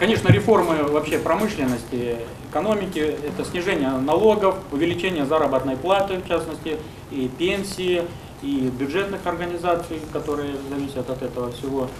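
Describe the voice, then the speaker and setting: Noticeable background noise behind a man's fairly high pitch, moderate pace and ordinary pitch variation. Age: 20s. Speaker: politician. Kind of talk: press conference. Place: meeting room. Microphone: podium.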